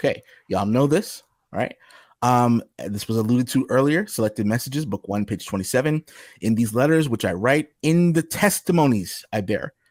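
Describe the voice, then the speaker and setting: Here a man with a normal speaking voice talks at a moderate pace and medium pitch with lively intonation, in a dry, close sound with no echo on a very clean recording with a silent background. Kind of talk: livestream discussion presenting texts. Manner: casual, conversational.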